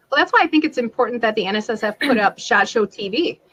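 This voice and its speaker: An unremarkable speaking voice from a woman, fairly quick in pace with lively intonation and a dry, close sound with no echo. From Wisconsin. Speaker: gun rights media commentator. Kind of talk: casual interview chat.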